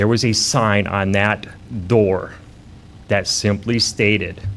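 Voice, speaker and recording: Fairly low in pitch, a man speaks at a fairly slow pace. His intonation stays fairly even. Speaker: mail carrier bitten by a dog. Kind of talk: testimony at city council meeting. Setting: city council meeting.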